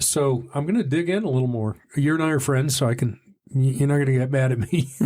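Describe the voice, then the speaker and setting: Very fast speech in an American accent. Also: man, fairly high pitch for a man, ordinary pitch variation, very even loudness. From Texas (Dallas). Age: 60s. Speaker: sobriety podcast host. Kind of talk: casual interview. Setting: studio.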